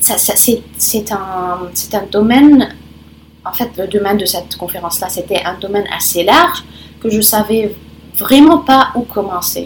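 Over noticeable background noise, a woman speaks fairly slowly with lively intonation and long, frequent pauses. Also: medium pitch for a woman. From Lebanon. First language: Arabic and Italian (speaking French). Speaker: conference interpreter. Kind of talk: interview. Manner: halting, many repetitions.

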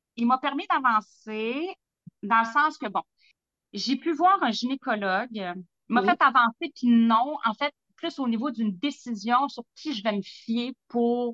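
Speaking fairly slowly in a Quebec accent, the woman has a fairly high pitch, lively intonation and a bright, sharp tone, recorded dry and close with no echo. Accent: Québécois French. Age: 40s. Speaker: lab technician sharing health testimony. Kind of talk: testimony.

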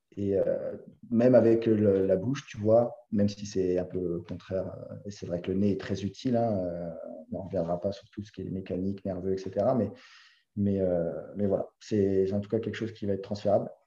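This man's voice is fairly low-pitched and dark and mellow in tone. He talks at a moderate pace in a monotone, flat intonation. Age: 20s. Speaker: CrossFit coach. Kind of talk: casual chat. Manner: halting.

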